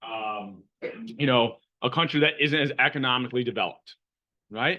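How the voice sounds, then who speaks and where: A man speaks at a moderate pace. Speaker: economics professor. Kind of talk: lecture. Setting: classroom with students. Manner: loud; casual, conversational.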